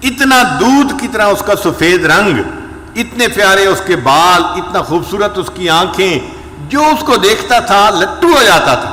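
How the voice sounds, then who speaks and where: A man speaks in a raised, projected voice, high-pitched for a man, with very wide pitch swings. Noticeable background noise sits behind him. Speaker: Islamic scholar and spiritual leader giving a sermon. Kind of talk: religious sermon (bayan) telling cautionary stories.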